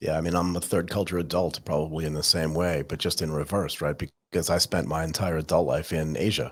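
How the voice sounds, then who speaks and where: Speaking very fast with a very deep, low voice, a man with an American accent is heard on a very clean recording with a silent background. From California, US. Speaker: podcast host. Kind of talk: casual interview chat.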